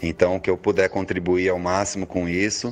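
The speech stays flat and monotone while background noise is clearly heard. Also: man. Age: 30s. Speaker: musician. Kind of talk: interview.

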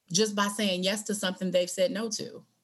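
A woman at medium pitch with an American accent, a normal speaking voice, ordinary pitch variation and a moderate pace. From Michigan. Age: 40s. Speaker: podcast host and hospice educator. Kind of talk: casual interview.

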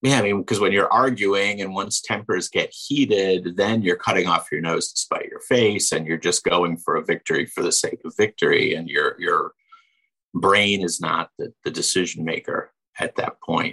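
A man's voice at a moderate pace, in a dry, close sound with no echo. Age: 50s. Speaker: radio host. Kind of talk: casual chat.

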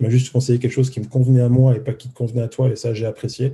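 A man speaks in a dark, mellow, somewhat breathy tone. His intonation stays flat and monotone. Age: 30s. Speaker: former car salesman turned coder, YouTuber. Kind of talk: casual interview.

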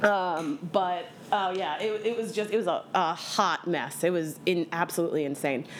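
A woman speaks with an American accent and a normal speaking voice. Her pitch is medium, with ordinary variation, at a moderate pace. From Bucks County, Pennsylvania. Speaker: cabaret singer. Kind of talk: casual chat.

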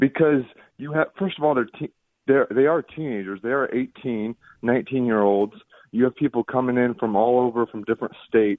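A man speaks at a moderate pace in a plain, everyday voice with an American accent, medium pitch and ordinary pitch variation. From Indiana. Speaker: caller. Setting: phone call.

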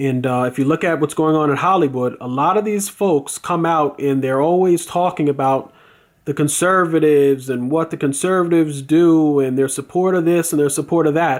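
In a very clean recording with a silent background, a man with an unremarkable speaking voice talks at a moderate pace, his fairly high pitch held in fairly even intonation. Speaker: video blogger. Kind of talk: angry rant. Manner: indignant, opinionated; rambling, filler-heavy.

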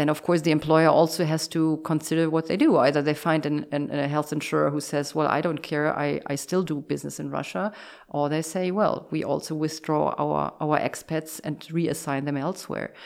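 Heard on a very clean recording with a silent background, a German-accented voice with vocal fry speaks at a moderate pace in a monotone, flat intonation, with hardly any pauses. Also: woman, very deep, low pitch for a woman. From Germany. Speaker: insurance executive. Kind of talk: interview. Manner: halting.

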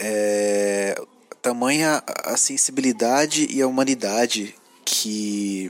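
The recording of a man talking has a dry, close sound with no echo. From São Paulo, Brazil. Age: 30s. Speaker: podcast listener. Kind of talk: recorded voice message. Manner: halting, many fillers.

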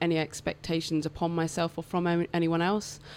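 In a very clean recording with a silent background, a woman with a British accent speaks at a fairly slow pace in a very deep, low pitch. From England. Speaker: electrician and portrait artist. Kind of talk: casual interview chat. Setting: radio studio.

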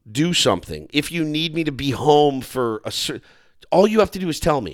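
Recorded very cleanly against a silent background, a man with an unremarkable speaking voice speaks at a moderate pace, fairly high in pitch, with lively intonation. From Texas. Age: 40s. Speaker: radio host. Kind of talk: casual chat.

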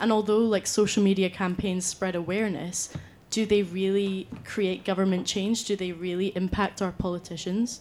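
This woman has a Scottish accent and a monotone, flat intonation. She speaks at a moderate pace. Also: medium pitch for a woman. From Scotland, Scottish Borders. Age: young. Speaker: university student, debate panelist. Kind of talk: debate speech.

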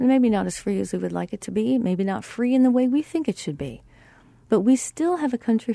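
Speaking at a fairly quick pace, a woman with a plain, everyday voice uses lively intonation, recorded as a dry, close sound with no echo. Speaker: radio host and therapist. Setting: radio studio broadcast. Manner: smooth, upbeat, polished radio patter.

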